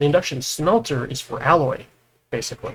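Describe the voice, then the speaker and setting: A man speaks in a somewhat breathy voice. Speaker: gaming video host. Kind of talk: gameplay tutorial chat.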